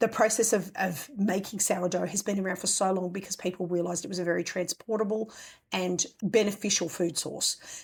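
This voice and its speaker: A woman's somewhat breathy voice moves at a moderate pace, with ordinary variation in pitch. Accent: Australian. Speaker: homesteading podcast host. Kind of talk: casual podcast talk.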